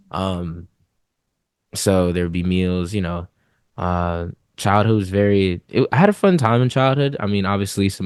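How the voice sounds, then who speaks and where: A man with an American accent speaks at a moderate pace. His very deep, low voice comes over a quiet background. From US South, Gwinnett County, Georgia. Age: 20s. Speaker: rapper. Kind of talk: interview.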